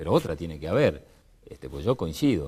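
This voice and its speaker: On a very clean recording with a silent background, a man speaks fairly quickly in a dark, mellow tone that is somewhat breathy. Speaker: political panelist. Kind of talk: televised panel debate.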